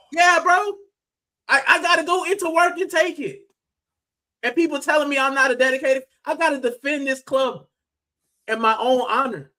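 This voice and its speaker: An animated man with an American accent, his raised, projected voice at an extremely high pitch, with ordinary pitch variation and long, frequent pauses. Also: moderate pace. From US, Miami. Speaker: football fan streamer. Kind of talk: live stream fan debate. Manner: loud.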